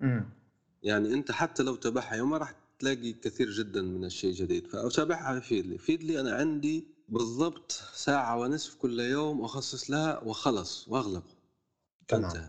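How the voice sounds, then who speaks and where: A man talks in a plain, everyday voice at medium pitch and a moderate pace. His intonation is lively. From Algeria, El Oued (southeast Sahara). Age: 20s. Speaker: writer and content creator. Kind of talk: casual interview.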